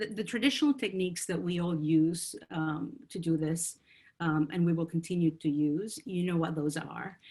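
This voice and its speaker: The woman's voice sits fairly low, with a dark, mellow tone. It is somewhat breathy, with ordinary pitch variation. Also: moderate pace. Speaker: procurement consultant. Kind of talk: webinar presentation. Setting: online webinar. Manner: hesitant with many fillers.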